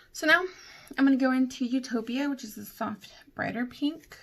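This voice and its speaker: Ordinary pitch variation shapes a woman's somewhat breathy voice. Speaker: beauty vlogger. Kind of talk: tutorial. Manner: casual, hesitant with fillers. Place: home room. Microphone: phone near.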